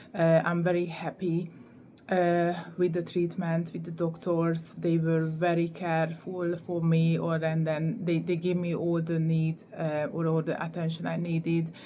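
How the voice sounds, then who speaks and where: In a Hungarian accent, a woman speaks at a fairly slow pace in a flat monotone, her fairly low voice dark and mellow, with audible room echo. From Hungary. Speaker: vlogger. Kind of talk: testimony. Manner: halting, many fillers.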